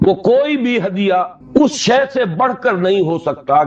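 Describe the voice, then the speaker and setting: A man speaks with music in the background. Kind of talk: Islamic sermon (bayan) lecture. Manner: earnest, preacherly, emphatic.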